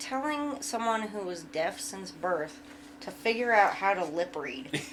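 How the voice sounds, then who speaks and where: A woman mumbles at a fairly slow pace in a fairly high pitch, her voice swinging very widely up and down, with audible echo from the room. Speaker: podcast co-host. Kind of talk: casual chat. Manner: mumbling.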